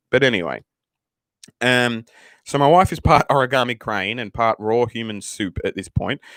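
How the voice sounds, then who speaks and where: An animated man speaks on a very clean recording with a silent background and a dry, close sound with no echo. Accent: Australian. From Australia. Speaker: live streamer and father. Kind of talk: casual live stream chat. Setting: live stream. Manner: animated, heavy swearing.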